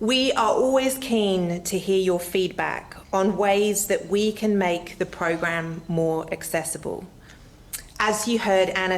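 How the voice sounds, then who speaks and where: With an Australian accent, a woman speaks at a medium pitch and a very slow pace, with ordinary pitch variation and noticeable background noise. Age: 40s. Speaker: arts engagement manager. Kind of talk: public presentation.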